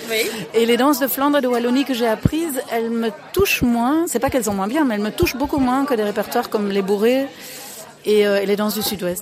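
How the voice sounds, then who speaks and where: A woman talks at a fairly quick pace with a fairly high pitch. Her pitch variation is ordinary, and background noise is noticeable. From Belgium. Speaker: dance teacher. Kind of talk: interview.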